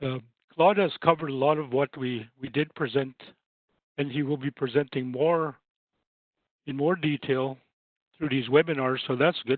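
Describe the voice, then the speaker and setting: A man with a Canadian prairie accent and a fairly high pitch talks at a moderate pace, with long, frequent pauses. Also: fairly even intonation. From Saskatchewan, Canada (First Nations). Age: 60s. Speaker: housing advisor and trainer. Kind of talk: webinar presentation. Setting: online webinar.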